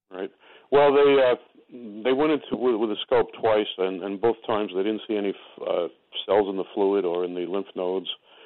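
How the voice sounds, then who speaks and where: This man has a normal speaking voice, fairly low in pitch with ordinary pitch variation, delivered at a moderate pace. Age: 60s. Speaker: caller with stomach cancer. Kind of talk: call-in conversation. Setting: phone call.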